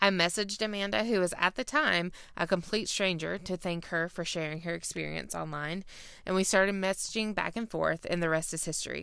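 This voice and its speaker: Fairly quick, fairly low-pitched female speech in a Southern US accent, with a bright, sharp tone and ordinary pitch variation, on a very clean recording with a silent background. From Georgia. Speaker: podcast host. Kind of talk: casual interview chat.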